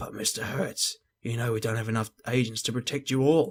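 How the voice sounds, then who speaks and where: A raspy, put-on character voice moves at a fairly quick pace with fairly even intonation. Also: man, medium pitch for a man. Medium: game stream.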